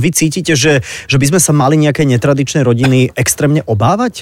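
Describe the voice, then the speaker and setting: The pace is fairly quick, and the pitch shifts in an ordinary way. It is an ordinary speaking voice. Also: man. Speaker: radio host. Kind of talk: radio interview. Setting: studio.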